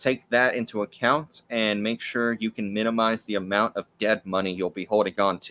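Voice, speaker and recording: A man with an American accent speaks at a moderate pace with hardly any pauses, his fairly low voice bright and sharp in tone with fairly even intonation. The sound is dry and close, with no echo. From US South. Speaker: YouTuber, trading card collector. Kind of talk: live stream Q&A.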